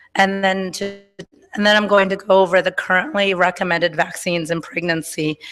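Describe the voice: A woman speaks in a fairly bright tone with little pitch movement.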